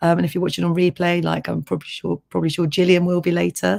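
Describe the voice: This woman has a fairly low pitch, vocal fry, a slightly mellow tone and fairly even intonation.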